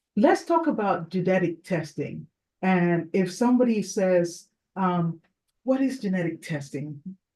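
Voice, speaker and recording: A woman's medium-pitched, somewhat breathy voice with a dark, mellow tone, lively intonation and a fairly slow pace. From Nigeria. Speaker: fertility doctor. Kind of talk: interview.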